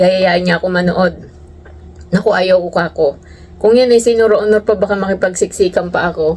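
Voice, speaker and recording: A woman with a normal speaking voice talks at a fairly quick pace. Her pitch is medium and her loudness very even. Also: fairly even intonation. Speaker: overseas worker vlogger. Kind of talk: casual vlog monologue.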